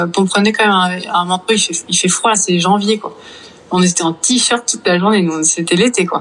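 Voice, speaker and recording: A woman talks at a fairly quick pace. Her intonation stays fairly even over noticeable background noise. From Brittany, France. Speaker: virologist. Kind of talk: interview.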